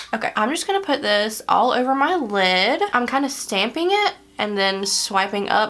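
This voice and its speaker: Moderately paced speech from a woman, noticeable background noise around her. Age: 30s. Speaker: beauty vlogger. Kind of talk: makeup tutorial. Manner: casual, chatty.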